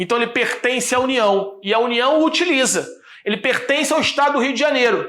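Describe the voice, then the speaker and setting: A man speaks at an extremely high pitch with lively intonation. Audible room echo surrounds his voice. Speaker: law professor. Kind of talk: lecture. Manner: fast; stumbling over words.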